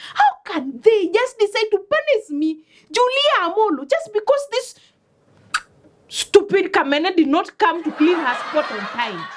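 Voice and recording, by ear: The pitch swings widely in this put-on character voice. The pace is fairly slow. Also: woman, extremely high pitch for a woman.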